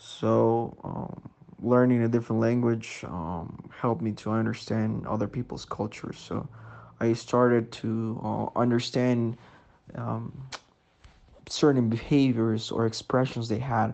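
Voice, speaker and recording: With a Spanish accent, a man talks at a fairly slow pace. His pitch is medium and his intonation fairly even. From Ecuador, Sangolquí. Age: 20s. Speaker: biomedical engineer. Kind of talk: interview answers.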